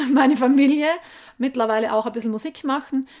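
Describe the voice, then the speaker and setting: Moderately paced speech from a woman, ordinary in pitch variation. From South Tyrol, Italy (Gasteig near Sterzing). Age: 30s. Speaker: environmental activist, author. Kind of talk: interview. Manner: hesitant, with fillers.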